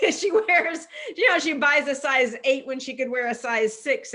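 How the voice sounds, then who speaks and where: A woman speaks in a raised, projected voice at a moderate pace. Her pitch is high, with ordinary variation and a bright, sharp tone. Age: 50s. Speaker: wellness and fitness coach. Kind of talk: interview. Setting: live video call.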